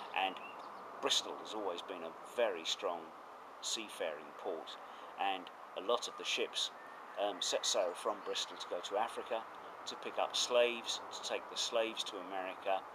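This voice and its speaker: Long pauses turn up frequently. Between them, the delivery keeps a moderate pace. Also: man. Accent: southern English. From southeast England, Essex. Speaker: retired professor. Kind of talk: interview. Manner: hesitant with fillers.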